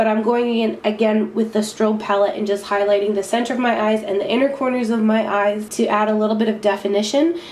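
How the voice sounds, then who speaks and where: Speaking very fast, a woman holds a fairly high pitch with fairly even intonation and very even loudness. Noticeable background noise is present. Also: hardly any pauses. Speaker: beauty vlogger. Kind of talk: makeup tutorial.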